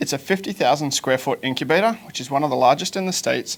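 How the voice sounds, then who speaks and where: A man with an Australian accent talks at a very fast pace with ordinary pitch variation, and noticeable background noise can be heard. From Australia, Sunshine Coast. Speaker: small business consultant. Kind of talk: interview.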